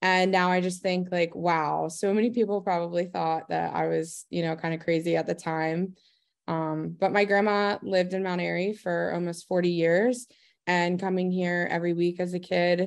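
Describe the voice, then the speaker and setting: Someone with an American accent talks in a monotone, flat intonation. The pace is moderate and the background quiet. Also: woman. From Maryland, Eldersburg; Maryland. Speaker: small business owner. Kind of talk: interview. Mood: warm, friendly. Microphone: video call.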